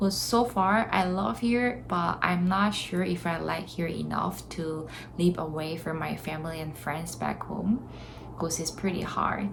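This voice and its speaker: A woman with a Korean accent speaks at a fairly slow pace. There is audible room echo and noticeable background noise. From South Korea. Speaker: vlogger. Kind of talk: casual vlog talk to camera.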